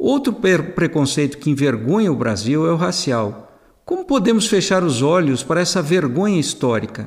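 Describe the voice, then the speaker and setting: A man's fairly high-pitched voice with vocal fry, very wide pitch swings, very even loudness, a moderate pace and hardly any pauses. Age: 60s. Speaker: author and financial commentator. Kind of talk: scripted narration.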